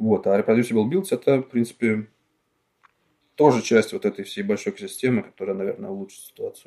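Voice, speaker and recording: A man with a medium pitch and a dark, mellow tone talks at a fairly quick pace, his pitch swinging very widely, broken by long, frequent pauses. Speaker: free software developer. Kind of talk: casual chat. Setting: remote podcast recording.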